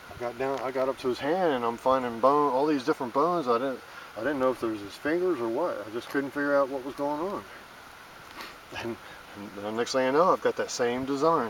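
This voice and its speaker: Fairly quick pace from a man with a medium pitch and ordinary pitch variation, over noticeable background noise. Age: 50s. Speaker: amateur digger and handyman. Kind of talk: casual monologue while digging. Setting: outdoors. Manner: halting, repetitive.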